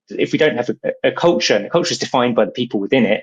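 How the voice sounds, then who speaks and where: Speaking at a very fast pace, a man talks with a British accent. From Britain. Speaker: company CEO. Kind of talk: podcast interview. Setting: studio.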